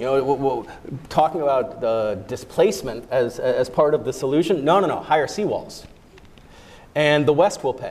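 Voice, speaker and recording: A normal speaking voice in an American accent, at a moderate pace with ordinary pitch variation. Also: man, fairly high pitch for a man. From United States. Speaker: humanitarian stabilization official. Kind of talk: panel discussion.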